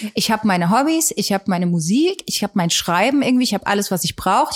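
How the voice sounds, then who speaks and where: In a very clean recording with a silent background and a dry, close sound with no echo, a woman at medium pitch uses a normal speaking voice with lively intonation. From Saxony, Germany (Geithain near Leipzig). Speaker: singer-songwriter. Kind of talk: casual interview.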